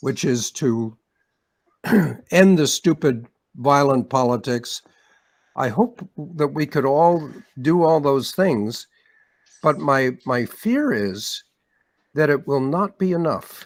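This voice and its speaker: A man with a Canadian accent at a fairly high pitch, very slow, with long, frequent pauses. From Canada. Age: 80s+. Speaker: researcher and activist. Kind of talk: panel discussion. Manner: halting, repeating words.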